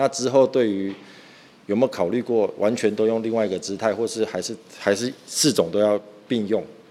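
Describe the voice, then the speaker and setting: Speaking at a fairly quick pace, a man uses a medium-pitched, dark, mellow voice with fairly even intonation. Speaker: podcast host. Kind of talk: casual chat. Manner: fast.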